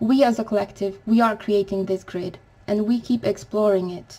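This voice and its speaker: A woman talks with fairly even intonation and a moderate pace while noticeable background noise carries on. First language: not English. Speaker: spiritual vlogger. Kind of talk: spiritual talk to camera. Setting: home recording at night. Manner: quiet, to avoid waking neighbours; halting.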